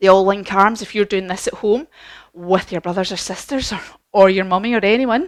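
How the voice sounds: It's a natural reading voice.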